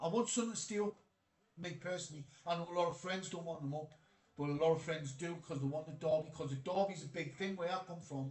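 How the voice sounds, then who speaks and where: A man talks at a very fast pace in a high pitch. He has a Geordie accent. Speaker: football streamer. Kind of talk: live stream chat reading comments. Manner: casual, animated.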